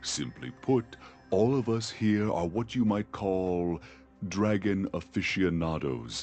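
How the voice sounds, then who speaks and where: A man speaks at a fairly slow pace in a put-on character voice. Faint music plays in the background. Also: fairly low pitch for a man. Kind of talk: epic fantasy legend narration. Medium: video game. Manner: grave, measured.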